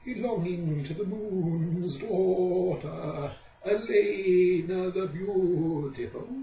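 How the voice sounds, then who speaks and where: Speaking very slowly, a man puts on a character voice pitched high. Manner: brisk, scolding.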